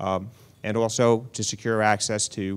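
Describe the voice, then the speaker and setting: The speaker has a slight New York accent. The recording is very clean, with a silent background. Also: man. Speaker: health insurance exchange official. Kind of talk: panel remarks.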